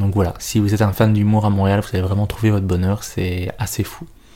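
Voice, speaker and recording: A man with a Belgian accent speaks at a moderate pace in a fairly low pitch, with a dark, mellow tone and fairly even intonation. The recording is very clean, with a silent background. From Belgium. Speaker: stand-up comedian and podcaster. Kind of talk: solo podcast monologue.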